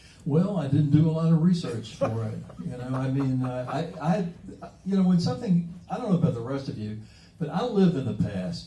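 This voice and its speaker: Speaking at a very fast pace, a man uses lively intonation. Audible room echo and noticeable background noise fill the recording. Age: 70s. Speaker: comic book artist and letterer. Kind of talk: interview at a public talk and signing. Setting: comic shop event with audience. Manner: halting, many fillers and repeated words.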